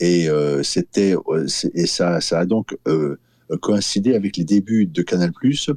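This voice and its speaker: Very slowly, a man speaks in a very deep, low voice with a dark, mellow tone and ordinary pitch variation, the sound dry and close with no echo. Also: very even loudness. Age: 60s. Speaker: filmmaker. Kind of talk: interview. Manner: halting, many fillers and repetitions.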